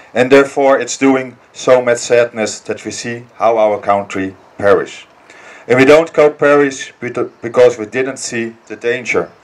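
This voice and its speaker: A man with a Dutch accent speaks at a medium pitch and a moderate pace. His intonation stays fairly even over noticeable background noise. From Netherlands. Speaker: political activist. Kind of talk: political speech. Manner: halting.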